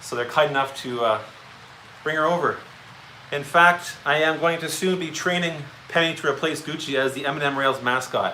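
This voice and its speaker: Audible room echo and noticeable background noise surround a man with a fairly high pitch. His pace is moderate, his intonation fairly even, and he leaves long, frequent pauses. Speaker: model railroad hobbyist. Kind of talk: casual chat. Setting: train room at home, livestream.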